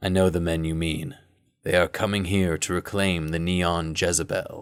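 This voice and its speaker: Putting on a character voice, a man talks at a moderate pace in a very deep, low pitch with fairly even intonation. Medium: read story. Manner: steady, authoritative.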